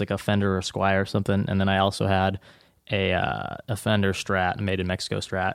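An unremarkable speaking voice from a man with a fairly low pitch, fairly quick pace, dry, close sound with no echo and a quiet background. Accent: American. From US Pacific Northwest, Seattle area. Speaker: guitar pedal builder. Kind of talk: casual interview.

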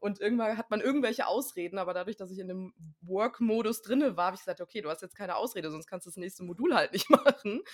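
A woman's medium-pitched voice with lively intonation and big swings in loudness at a very fast pace, the sound dry and close with no echo. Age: 30s. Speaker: trained actress and coach, course graduate. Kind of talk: interview.

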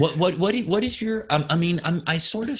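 A somewhat breathy man speaks at a fairly quick pace with lively intonation. The background is quiet. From Denmark. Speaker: podcast host. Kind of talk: interview. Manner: halting.

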